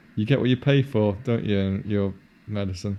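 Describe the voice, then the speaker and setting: In a Yorkshire accent, the speaker talks at a moderate pace with ordinary pitch variation and a dark, mellow tone. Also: man. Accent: generic northern English, Yorkshire-inflected. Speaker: film commentary podcaster. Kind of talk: casual chat.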